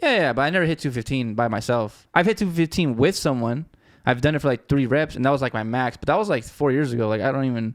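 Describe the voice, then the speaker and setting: A man with a Spanish accent, medium in pitch and lively in intonation, at a very fast pace in a very clean recording with a silent background. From Southern California. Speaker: music producer, podcast co-host. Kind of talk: casual chat. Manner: fast, halting.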